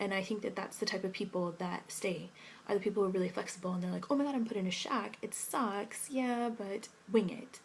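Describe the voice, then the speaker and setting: A woman talks at a fairly quick pace in a somewhat breathy voice, with a medium pitch and ordinary pitch variation. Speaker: English teaching scholar in Korea. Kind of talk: vlog answering viewer questions. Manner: fast.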